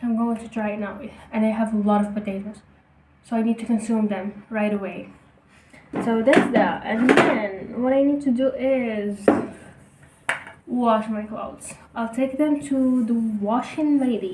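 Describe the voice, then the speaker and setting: A woman with a non-native accent and fairly high pitch, at a fairly slow pace with fairly even intonation and long, frequent pauses, over noticeable background noise. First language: not English. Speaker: student vlogger. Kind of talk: casual vlog talk. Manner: informal, self-correcting.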